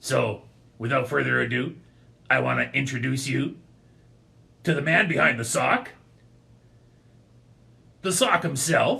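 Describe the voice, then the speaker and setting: Using a put-on character voice, a man speaks raspily at a medium pitch and a moderate pace, with long, frequent pauses. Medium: puppet.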